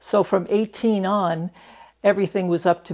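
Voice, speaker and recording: In a very clean recording with a silent background, a woman with a normal speaking voice talks at a moderate pace with fairly even intonation. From New York, Catskill Mountains. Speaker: retired prison doctor. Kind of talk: oral history interview. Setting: interview in Reno.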